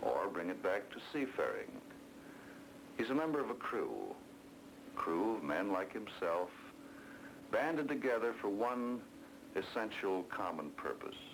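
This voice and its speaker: A man with an American accent, at a fairly slow pace with long, frequent pauses over noticeable background noise. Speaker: documentary narrator. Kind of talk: documentary narration.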